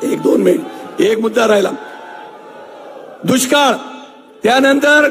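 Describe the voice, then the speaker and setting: With a Marathi accent, a man speaks at an extremely high pitch. Noticeable background noise and audible room echo fill the recording. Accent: Marathi-accented Hindi. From Maharashtra, Nashik district. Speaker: local politician. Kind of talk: political speech.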